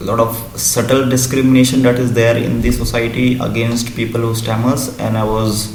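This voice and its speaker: Through noticeable background noise, a man speaks at a fairly slow pace and a fairly low pitch. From India. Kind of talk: interview answer. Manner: stuttering with repetitions and blocks.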